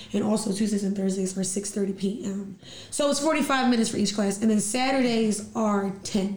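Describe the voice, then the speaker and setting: A woman speaks at a medium pitch with ordinary pitch variation and very even loudness. Her pace is moderate, and room echo is audible. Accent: American. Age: 30s. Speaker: fitness studio owner and teacher. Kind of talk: casual interview chat.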